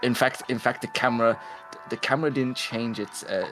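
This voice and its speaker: Music sounds in the background. Over it, a man speaks at a fairly quick pace. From London. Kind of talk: casual chat. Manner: halting.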